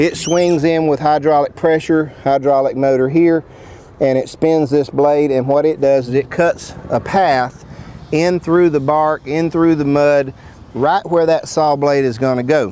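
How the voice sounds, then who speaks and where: Speaking at a fairly slow pace with fairly even intonation, a man sounds dry with no echo over light background noise. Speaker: sawmill product demonstrator. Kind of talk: product demo explanation. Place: open country. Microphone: lapel.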